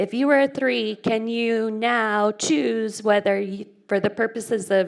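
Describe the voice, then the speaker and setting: At a fairly slow pace, a woman in a Phoenix accent speaks with ordinary pitch variation. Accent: self-described weird Phoenix. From Phoenix, Arizona, US. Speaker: conference speaker. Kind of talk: conference talk. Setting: movie theater with audience. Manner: casual, interactive.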